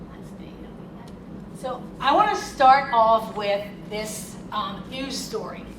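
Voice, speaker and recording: A woman with an American accent and a fairly high pitch talks at a very slow pace with long, frequent pauses and big swings in loudness, over noticeable background noise and audible room echo. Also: ordinary pitch variation. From Philadelphia. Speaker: consultant and attorney, keynote speaker. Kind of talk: keynote speech. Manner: animated.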